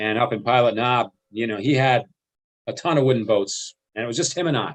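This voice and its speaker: With an American accent, a man uses an ordinary speaking voice at a medium pitch with ordinary pitch variation. He talks at a fairly quick pace over a quiet background. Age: 60s. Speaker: marina businessman. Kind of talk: casual storytelling.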